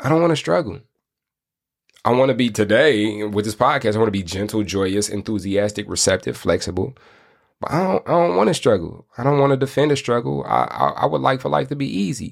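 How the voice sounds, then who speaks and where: A man with an American accent talks at a fairly quick pace in a fairly low pitch, with vocal fry, an animated tone and very wide pitch swings. The recording is very clean, with a silent background. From Michigan, US. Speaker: podcast host, life coach. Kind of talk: motivational monologue.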